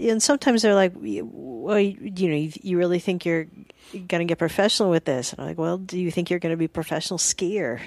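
Recorded very cleanly against a silent background, a woman speaks very fast. Her fairly low voice carries lively intonation. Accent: American. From US South (Alabama and Georgia). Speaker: comedian. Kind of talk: casual chat. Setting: studio. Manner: soft-spoken; quiet, not loud.

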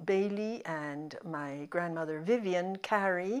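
This woman's voice sits fairly low in pitch. She speaks with a Spanish accent. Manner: halting, hesitant.

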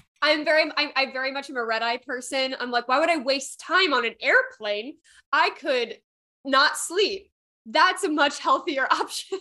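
A woman with an American accent speaks in a raised, projected voice at a high pitch, her tone bright and sharp. She keeps a moderate pace against a quiet background. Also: ordinary pitch variation. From US Midwest. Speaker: podcast co-host. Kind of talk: casual chat.

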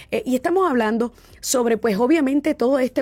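This woman has a plain, everyday voice and lively intonation. She speaks at a moderate pace. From Boston, US. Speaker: radio talk show host. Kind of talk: interview.

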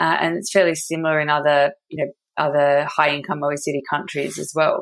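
In an Australian accent, a woman speaks at a moderate pace with a very deep, low pitch. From Australia, Perth. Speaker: energy tech company co-founder. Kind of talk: interview.

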